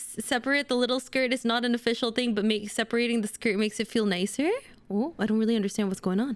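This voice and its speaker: An animated tone at a very fast pace, its loudness very even. The recording is very clean, with a silent background. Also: woman, fairly high pitch for a woman. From Indonesia. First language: Indonesian. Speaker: streamer. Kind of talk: casual chat. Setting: livestream.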